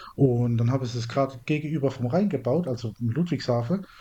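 A man speaks at medium pitch and a moderate pace. His tone is dark and mellow, and somewhat breathy. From Mannheim, southwestern Germany. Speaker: podcast co-host. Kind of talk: casual chat.

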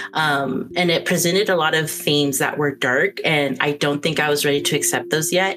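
This woman has a very deep, low pitch and ordinary pitch variation, speaking at a moderate pace. Noticeable background noise sits behind her. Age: 30s. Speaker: streamer and game reviewer. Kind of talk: casual chat.

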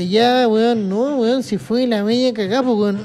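Someone with a Chilean accent talks at a moderate pace against noticeable background noise. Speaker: solo podcaster. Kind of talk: casual monologue. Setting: at his workplace, sitting in a chair. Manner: animated.

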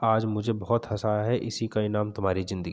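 Someone reads in an unforced voice.

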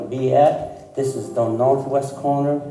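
A man with a fairly high pitch at a fairly slow pace, amid noticeable background noise. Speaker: pastor. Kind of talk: sermon. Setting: church. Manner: halting.

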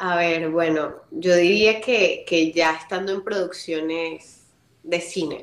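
Audible room echo surrounds a woman who speaks very slowly, her fairly low pitch held in fairly even intonation. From Venezuela. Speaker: voice actress and model. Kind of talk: interview.

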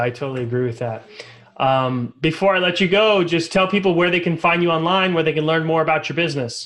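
Speaking at a very fast pace, a man with a fairly high pitch shows ordinary pitch variation. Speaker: podcast host. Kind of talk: scripted-free interview chat.

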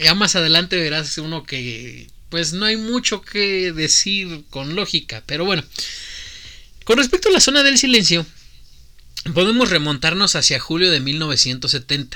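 A man with a Mexican accent speaks at a fairly slow pace in a high, animated voice with a bright, sharp tone and very wide pitch swings. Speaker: podcast host. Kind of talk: casual chat.

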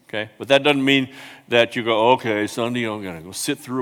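The man has an unremarkable speaking voice. His pitch is medium, with ordinary variation. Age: 60s. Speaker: pastor. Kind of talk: sermon. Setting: church.

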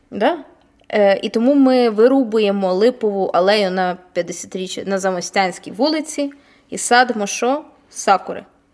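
A woman speaks fairly slowly at a fairly high pitch with lively intonation. She has an unremarkable speaking voice. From Vinnytsia, Ukraine. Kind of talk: casual chat. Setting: large hall, basement.

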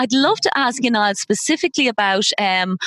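In an Irish accent, a woman with a fairly high pitch talks at a moderate pace with lively intonation, the sound dry and close with no echo. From Ireland. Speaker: podcast host, loyalty consultant. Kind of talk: interview. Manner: enthusiastic.

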